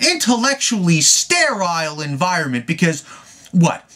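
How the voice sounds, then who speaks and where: A man's raised, projected voice at a fairly slow pace, with very wide pitch swings and noticeable background noise. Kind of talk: rant to camera. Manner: stuttery, a little rocky.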